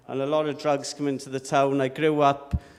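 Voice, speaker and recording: A man with a South Welsh accent, a fairly high pitch and a moderate pace. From South Wales (Llanelli). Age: 40s. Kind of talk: testimony.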